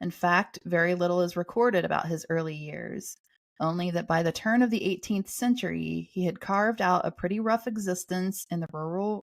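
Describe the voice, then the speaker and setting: A woman with a fairly low pitch and a Southern US accent, at a fairly quick pace with ordinary pitch variation. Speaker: podcast host. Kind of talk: reading aloud.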